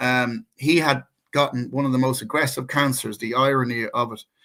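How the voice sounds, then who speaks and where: With an Irish accent, a man speaks in a bright, sharp tone and fairly even intonation in a very clean recording with a silent background. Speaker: co-host, natural healer. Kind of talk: personal testimony in casual chat. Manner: halting, many repeated words.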